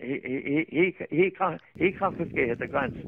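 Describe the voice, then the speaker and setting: Over noticeable background noise, a man speaks with an Irish accent at a fairly high pitch. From Ireland. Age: 80s+. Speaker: farm herd keeper. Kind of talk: interview answer. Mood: aggrieved, halting. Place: open country.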